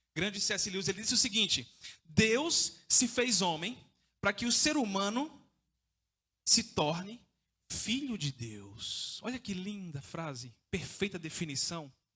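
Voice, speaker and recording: Raised and projected, a man's high-pitched voice with a bright, sharp tone moves at a fairly slow pace through very wide pitch swings. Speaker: evangelist preacher. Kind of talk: sermon. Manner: informal, conversational.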